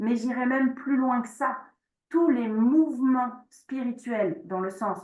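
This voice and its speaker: A woman speaks very slowly in a somewhat breathy voice, with audible room echo. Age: 40s. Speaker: shamanic practice teacher. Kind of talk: online workshop presentation with Q&A. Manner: hesitant, many fillers.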